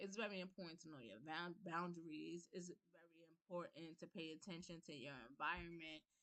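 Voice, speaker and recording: Ordinary pitch variation marks a woman with a New York accent who talks at a moderate pace in a fairly low pitch. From New York, the Bronx. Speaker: livestream host. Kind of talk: personal talk and testimony on a livestream. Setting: livestream on Zoom.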